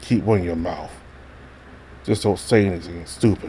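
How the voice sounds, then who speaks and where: In a put-on character voice, a man growls at a very deep, low pitch, keeping a moderate pace and fairly even intonation. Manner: low growling.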